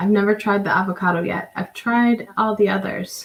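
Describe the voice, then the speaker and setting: A woman speaks at a moderate pace in a medium pitch, her voice somewhat breathy and her intonation flat and monotone. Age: 30s. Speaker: guest panelist. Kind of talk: casual chat. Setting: live stream.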